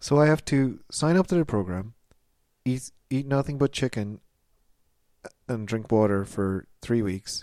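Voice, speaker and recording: In a Canadian accent, the speaker uses a dark, mellow tone and lively intonation. The pace is fairly slow, with long, frequent pauses. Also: man, medium pitch for a man. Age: 30s. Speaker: comedy podcast host. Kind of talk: comedic mock interview. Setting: studio.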